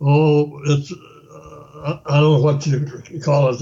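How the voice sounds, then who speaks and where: Somewhat breathy and at a very slow pace, a man talks in a fairly high pitch. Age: 80s+. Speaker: retired chief truck engineer. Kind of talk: interview answer.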